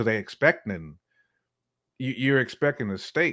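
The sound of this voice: Intonation is lively as a man talks at a moderate pace. His tone is fairly bright.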